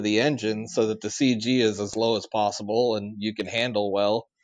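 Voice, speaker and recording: A man's unremarkable speaking voice of medium pitch, at a moderate pace with fairly even intonation. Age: 30s. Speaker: engineer and motorcycle rider. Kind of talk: casual chat.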